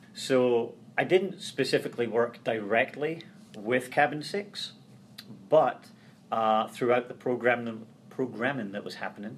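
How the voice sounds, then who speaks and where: A man with a medium-pitched voice talks at a fairly slow pace, with ordinary pitch variation, long and frequent pauses, and big swings in loudness. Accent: Scottish. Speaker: transition services coordinator. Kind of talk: interview conversation.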